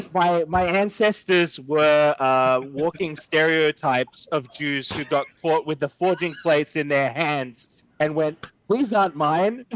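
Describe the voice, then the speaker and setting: Speaking at a fairly slow pace with an Australian accent, a man uses fairly high pitch and ordinary pitch variation. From Australia (Sydney, via Melbourne). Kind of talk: casual chat.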